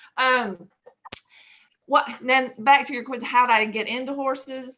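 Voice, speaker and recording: This woman has a bright, sharp tone and speaks with a Texas accent. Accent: Texas twang. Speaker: horse breeder and exhibitor. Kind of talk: interview conversation.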